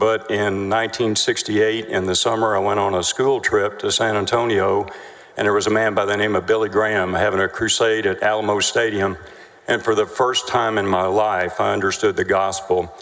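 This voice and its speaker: A man with a Texan accent talks at a fairly quick pace in a fairly low pitch, his intonation monotone and flat and his loudness very even, over noticeable background noise. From Texas, Denton. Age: 60s. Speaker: trial witness. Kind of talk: witness testimony. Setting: courtroom. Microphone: too far from the mic.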